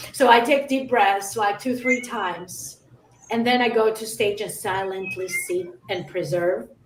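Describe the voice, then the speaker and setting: A woman speaks at a fairly slow pace with a medium pitch and ordinary pitch variation. Noticeable background noise runs under her voice. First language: not English. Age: 30s. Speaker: metalcore musician. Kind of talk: casual interview chat. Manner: halting.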